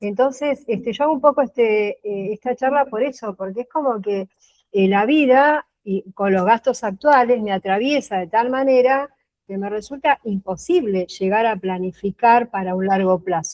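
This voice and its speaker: In a normal speaking voice, a woman talks at a moderate pace with fairly high pitch and ordinary pitch variation. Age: 60s. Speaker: workshop participant. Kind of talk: casual chat.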